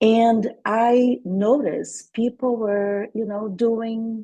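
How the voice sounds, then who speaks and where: A woman speaks very slowly in a fairly high-pitched, dark, mellow voice with monotone, flat intonation. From Brazil, Salvador Bahia. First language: Portuguese. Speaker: intercultural coach and speaker. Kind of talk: webinar presentation.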